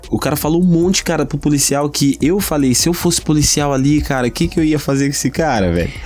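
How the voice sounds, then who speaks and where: A man talks at a fairly quick pace with a fairly high-pitched voice. Music plays in the background. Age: 30s. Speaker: podcast host. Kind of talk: casual chat. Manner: animated.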